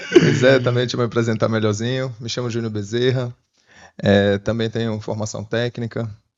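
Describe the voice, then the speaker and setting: The speech moves at a moderate pace, its intonation fairly even. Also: man, medium pitch for a man. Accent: northeastern Brazilian. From Sergipe, northeastern Brazil. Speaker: podcast co-host, mining worker. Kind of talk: casual podcast chat.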